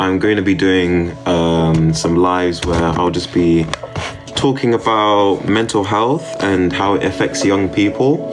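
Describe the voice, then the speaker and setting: Against background music and audible room echo, a man with a British accent speaks slowly in a very deep, low pitch, his loudness very even. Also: ordinary pitch variation. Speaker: streamer. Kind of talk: casual livestream chat. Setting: live stream. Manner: hesitant with many fillers.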